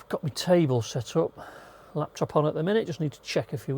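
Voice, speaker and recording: A man with a northern English accent speaks in a relaxed, somewhat breathy way with a dark, mellow tone. The sound is dry and close with no echo, on a very clean recording with a silent background. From northern England. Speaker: travel vlogger. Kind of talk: casual vlog to camera. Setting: inside campervan on clifftop. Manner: chatty, relaxed.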